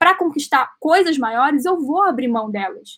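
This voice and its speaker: A woman speaks in a Carioca accent at a high pitch. Her intonation is lively. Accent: carioca Brazilian Portuguese. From Rio de Janeiro, Brazil. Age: 20s. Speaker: actress and entrepreneur. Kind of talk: casual interview.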